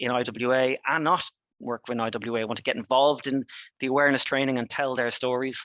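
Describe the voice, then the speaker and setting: Someone with an Irish accent talks at a fairly quick pace over a quiet background. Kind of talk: webinar presentation. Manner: fast; halting, many fillers and restarts.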